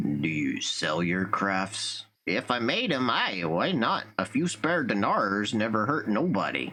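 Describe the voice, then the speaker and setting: Speaking at a fairly slow pace with hardly any pauses, a man puts on a character voice. His pitch sits in the medium range. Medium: solo performance. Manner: blunt, folksy, grumbling.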